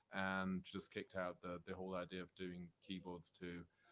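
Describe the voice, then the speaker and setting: Speaking at a fairly slow pace, a man has a slight Swiss accent. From Switzerland, Zurich (born in London, moved at 7 or 8). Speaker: rockabilly double bass player. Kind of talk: casual interview chat.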